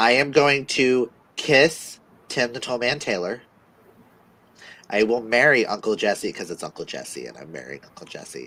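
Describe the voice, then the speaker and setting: A man with vocal fry and a bright, sharp tone speaks at a medium pitch, with big swings in loudness and long, frequent pauses. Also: ordinary pitch variation, moderate pace. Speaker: livestream co-host reading chat questions. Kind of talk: casual livestream chat.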